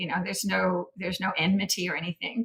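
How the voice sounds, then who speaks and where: A woman speaks at a medium pitch. She has an American accent. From United States. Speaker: sheep farmer, former oceanographer. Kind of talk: podcast interview. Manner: casual, hesitant with fillers.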